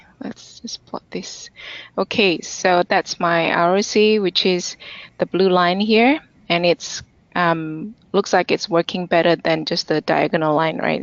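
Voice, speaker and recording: A woman with an ordinary speaking voice talks at a fairly slow pace, her fairly low pitch showing ordinary variation. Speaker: conference speaker presenting data science. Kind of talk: technical webinar presentation with demo. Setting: online webinar.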